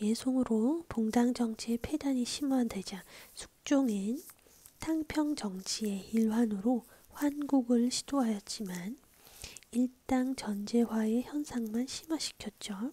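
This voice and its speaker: This soft-spoken voice whispers at a very slow pace. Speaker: Korean history teacher (ASMR study lessons). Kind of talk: history lesson, ASMR whisper teaching. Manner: whispered, soft-spoken.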